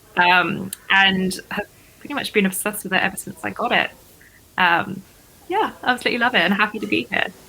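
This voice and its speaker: A woman with an English accent, medium pitch and ordinary pitch variation, fairly quick between long, frequent pauses, over noticeable background noise. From southern England, Dorset. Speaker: podcast guest, fitness community member. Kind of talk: casual interview chat.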